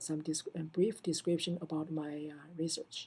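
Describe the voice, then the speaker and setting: A woman's very deep, low voice with a dark, mellow tone and a non-native accent, at a moderate pace. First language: not English. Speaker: assistant professor of computer science. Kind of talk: recorded self-introduction answering prompts. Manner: halting, many fillers and restarts.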